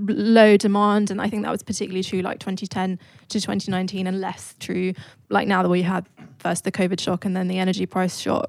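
In a very clean recording with a silent background, a woman of medium pitch speaks at a fairly quick pace with monotone, flat intonation, the sound dry and close with no echo. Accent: British. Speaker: think tank economist. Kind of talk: live panel discussion. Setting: stage with audience.

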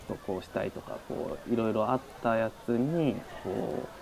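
With noticeable background noise behind him, a man talks at a moderate pace with ordinary pitch variation. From Japan, Shizuoka. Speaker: art lecturer. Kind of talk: casual interview.

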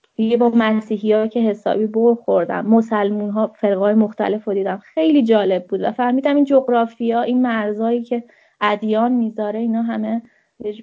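A woman in a plain, everyday voice speaks at a moderate pace, fairly high in pitch with fairly even intonation. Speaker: children's coach. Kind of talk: casual chat.

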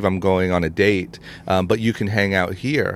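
A man with an American accent and an unremarkable speaking voice talks in a fairly low pitch at a moderate pace with fairly even intonation. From Ohio, US Midwest. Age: 30s. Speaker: entrepreneur and podcast host. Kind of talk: interview conversation.

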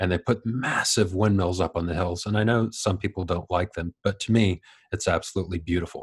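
A man with an American accent speaks at a fairly quick pace in a very deep, low, somewhat breathy voice. The background is quiet. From Ohio, US Midwest. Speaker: YouTuber on batteries and EVs. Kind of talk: casual interview chat. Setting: remote recording from New Zealand.

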